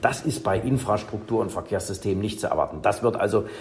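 A man delivers his words very rapidly, his pitch moving in an ordinary way. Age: 50s. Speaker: professor of electric transport systems. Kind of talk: interview.

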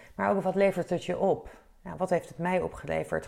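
A woman's medium-pitched voice with a dark, mellow tone. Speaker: podcast host, sports and event professional. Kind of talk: solo podcast monologue. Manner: hesitant, many filler sounds.

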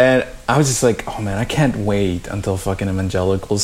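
A man's fairly low voice at a fairly quick pace, with fairly even intonation and noticeable background noise. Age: 30s. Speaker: podcast co-host. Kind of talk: casual conversation.

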